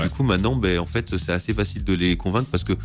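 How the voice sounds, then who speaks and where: A man's voice at a very fast pace with very wide pitch swings, music in the background. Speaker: co-founder of a local platform. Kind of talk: radio interview answer.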